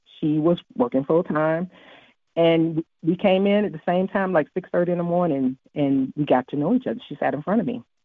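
A woman talks in a normal speaking voice, pitched fairly low. Her intonation is lively and her pace moderate. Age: 50s. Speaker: business owner. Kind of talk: interview.

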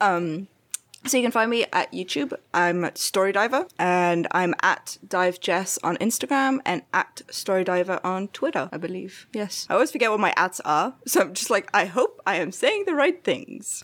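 In a very clean recording with a silent background, a woman talks at a moderate pace and medium pitch. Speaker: YouTuber. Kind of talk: casual chat.

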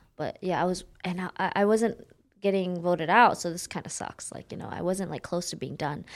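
A woman with an American accent speaks at a fairly quick pace in a plain, everyday voice of medium pitch. Her intonation is fairly even, with big swings in loudness. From Oakland, California. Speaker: MMA fighter. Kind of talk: casual interview chat. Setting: studio.

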